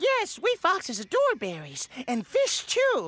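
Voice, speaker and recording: A cartoonish character voice with an extremely high pitch. It moves at a fairly slow pace. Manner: sly, evasive.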